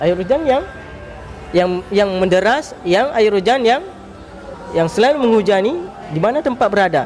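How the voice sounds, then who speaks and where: Over background music, a man with a high pitch speaks at a moderate pace with lively intonation and very even loudness. He takes long, frequent pauses, and audible room echo surrounds his voice. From Aceh, Indonesia. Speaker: Islamic preacher, head of a dakwah organization. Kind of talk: talk show interview on preaching. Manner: halting, with repetitions and fillers.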